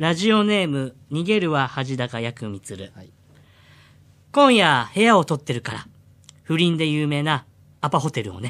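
At a moderate pace with very wide pitch swings and long, frequent pauses, the voice comes through on a very clean recording with a silent background. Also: man, fairly high pitch for a man, big swings in loudness. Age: 40s. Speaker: comedian impersonator. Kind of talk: reading listener submissions aloud. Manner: animated.

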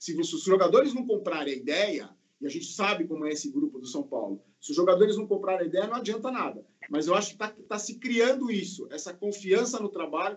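A man's high-pitched, very fast speech with very wide pitch swings. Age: 50s. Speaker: football podcast panelist. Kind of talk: casual chat. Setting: video call.

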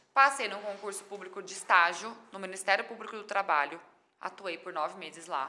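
Speaking at a fairly quick pace and medium pitch, a woman shows ordinary pitch variation and big swings in loudness. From Brazil, São Paulo state (Mirassol). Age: 30s. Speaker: chef and digital influencer. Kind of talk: podcast interview.

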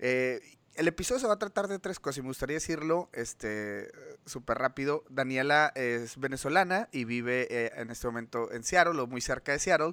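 A man with a Mexican accent speaks at a moderate pace, his pitch fairly high and his intonation lively. His tone is bright and sharp, and the sound is dry and close with no echo. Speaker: podcast host. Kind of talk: interview. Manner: hesitant, many fillers.

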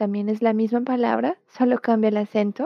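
A woman speaks with a Portuguese accent. Her pace is fairly slow and her intonation fairly even. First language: Portuguese (speaking Spanish). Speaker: Portuguese language teacher. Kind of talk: language lesson. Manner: slow, clear enunciation for repetition.

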